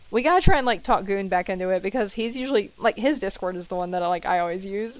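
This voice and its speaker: A woman with an American accent talks at a very fast pace. Her intonation is lively. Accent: southern US accent comes out when stressed. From US South. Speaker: video game streamer. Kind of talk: live gameplay stream chatting with viewers. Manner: casual, chatty.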